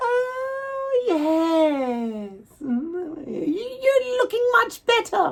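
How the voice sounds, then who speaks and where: A woman uses a put-on character voice, squeaky and extremely high-pitched. She talks at a very slow pace with very wide pitch swings. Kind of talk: comic stage acting. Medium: stage play. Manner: affected, theatrical, gasping.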